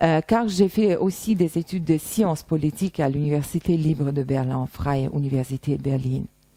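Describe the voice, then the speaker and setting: A woman with a Russian accent speaks in a very deep, low pitch and a dark, mellow tone, keeping a moderate pace with hardly any pauses and ordinary pitch variation. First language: Russian (speaking French). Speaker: translator and interpreter. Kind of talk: self-presentation monologue. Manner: hesitant, many fillers.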